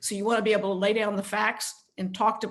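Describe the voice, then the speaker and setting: The delivery is monotone, with flat intonation. It moves at a fairly quick pace. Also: woman. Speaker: leadership coach and consultant. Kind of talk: webinar panel discussion. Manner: fast.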